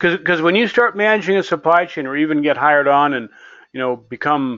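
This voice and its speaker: A fairly high-pitched man at a fairly quick pace. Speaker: software developer demonstrating supply chain simulation. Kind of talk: software tutorial demo. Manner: fast; casual, hesitant with repetitions.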